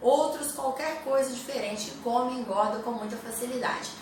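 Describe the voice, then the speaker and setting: With a high pitch and ordinary pitch variation, a woman talks amid noticeable background noise and audible room echo. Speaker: health and nutrition youtuber. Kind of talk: educational talk to camera.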